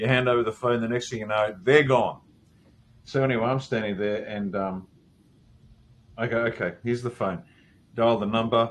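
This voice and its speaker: At a fairly quick pace, a man talks with medium pitch. His pitch variation is ordinary. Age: 60s. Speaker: military veteran and consultant. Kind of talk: casual interview chat. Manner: halting, many repeated words.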